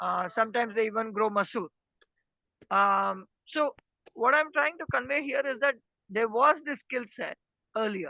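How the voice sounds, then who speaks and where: Speaker with an Indian accent talks at a moderate pace, leaving long, frequent pauses. The background is quiet. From India, not Hindi-speaking region. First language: Indian language other than Hindi. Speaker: rural development worker. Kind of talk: interview. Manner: measured, with many fillers.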